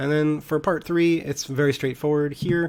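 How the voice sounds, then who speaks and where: The man's intonation stays fairly even. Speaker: high school economics teacher. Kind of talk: recorded class tutorial. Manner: fast; casual.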